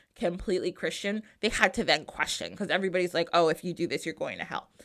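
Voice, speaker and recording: A medium-pitched woman's voice with an American accent, on a very clean recording with a silent background. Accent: New Jersey, noticeable when excited. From New Jersey. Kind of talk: casual interview and solo segments.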